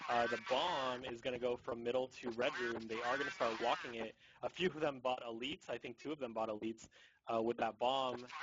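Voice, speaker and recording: A man speaks in a normal speaking voice at a fairly quick pace, with a medium pitch and ordinary pitch variation. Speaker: esports shoutcaster. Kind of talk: live game commentary.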